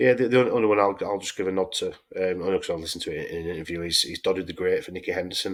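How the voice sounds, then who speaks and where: A man talks with a Yorkshire accent. He speaks at a very fast pace with hardly any pauses. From Yorkshire, England. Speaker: horse racing podcast host. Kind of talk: casual chat.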